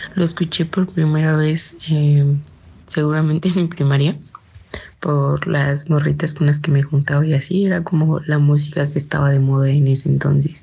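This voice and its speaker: At a moderate pace, a woman speaks in a very deep, low, somewhat breathy voice with a dark, mellow tone, very even loudness and fairly even intonation. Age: 20s. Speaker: interviewee, young listener. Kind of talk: casual interview.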